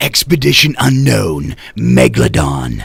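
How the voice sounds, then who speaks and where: A man puts on a character voice with a very deep, low pitch. He delivers it at a fairly slow pace. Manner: dramatic, announcer-style.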